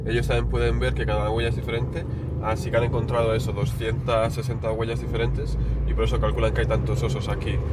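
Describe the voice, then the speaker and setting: Noticeable background noise sits under speech delivered at a very fast pace. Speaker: travel vlogger. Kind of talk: travel vlog narration. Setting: indoors in a hunting cabin watching bears. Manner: soft, hushed.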